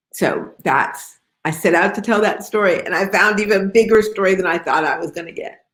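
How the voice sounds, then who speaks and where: An ordinary speaking voice with an American accent, ordinary pitch variation and a fairly quick pace. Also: woman, medium pitch for a woman. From Detroit, US Midwest. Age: 60s. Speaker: novelist. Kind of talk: author interview. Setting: video call.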